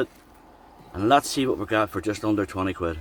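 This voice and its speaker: Talking at a very fast pace with an Irish accent, a man comes across with a dry, close sound and no echo. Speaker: travel vlogger. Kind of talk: casual vlog narration.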